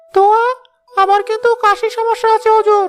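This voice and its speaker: Squeaky and cartoonish, a woman's character voice moves at a moderate pace over faint music in the background. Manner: obsequious, whiny.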